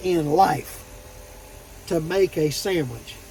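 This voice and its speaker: A man with a Southern US accent speaks in a relaxed tone at a high pitch. Noticeable background noise is present. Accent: southern drawl. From Florida. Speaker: truck driver vlogger. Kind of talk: casual vlog monologue. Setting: parked at truck terminal. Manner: relaxed, storytelling.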